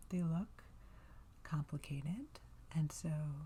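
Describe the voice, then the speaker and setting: The voice is soft-spoken with a relaxed tone. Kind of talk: ASMR knitting tutorial. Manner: soft-spoken, relaxed.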